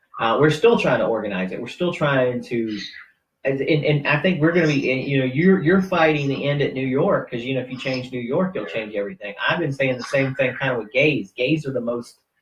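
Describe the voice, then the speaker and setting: A man's fairly high-pitched voice with a Southern US accent, lively intonation and a fairly quick pace. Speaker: political radio host and activist. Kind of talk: casual interview chat. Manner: animated.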